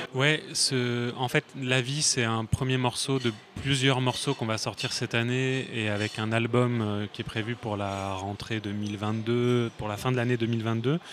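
Noticeable background noise runs behind a man who speaks very slowly at a medium pitch with fairly even intonation and hardly any pauses. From Paris region, France. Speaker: singer and songwriter. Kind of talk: casual interview. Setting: café.

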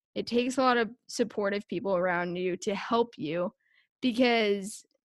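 In a very clean recording with a silent background and a dry, close sound with no echo, a woman with a normal speaking voice talks at a moderate pace with ordinary pitch variation. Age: 20s. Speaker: social media content strategist for a sports team. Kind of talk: casual interview chat.

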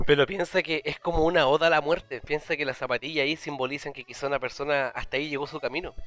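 A man with a Chilean accent speaks very fast, with hardly any pauses and fairly even intonation. His pitch is fairly high, with noticeable background noise behind him. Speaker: podcast co-host. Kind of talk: casual chat.

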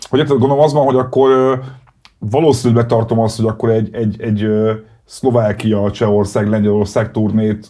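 The tone is dark and mellow, with fairly even intonation. The pace is fairly quick. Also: man. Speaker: podcast host. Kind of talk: casual interview.

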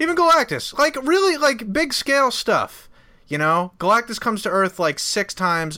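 A man's raised, projected voice, bright and sharp in tone, at a fairly quick pace with very wide pitch swings. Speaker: podcast panelist. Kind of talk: casual chat.

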